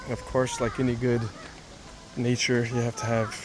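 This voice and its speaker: A man speaks at a medium pitch with monotone, flat intonation. Noticeable background noise runs underneath. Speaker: travel vlogger. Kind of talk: casual vlog narration.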